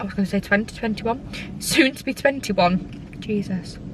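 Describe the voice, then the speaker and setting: Noticeable background noise under a woman's voice at medium pitch. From northern England, Scunthorpe (Lincolnshire). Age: 20s. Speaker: vlogger. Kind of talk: casual Q&A vlog chat. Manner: chatty, many fillers.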